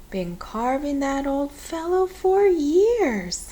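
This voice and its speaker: Using a put-on character voice, a woman speaks very slowly and high, with very wide pitch swings. There is light background noise. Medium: read story. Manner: brisk, no-nonsense.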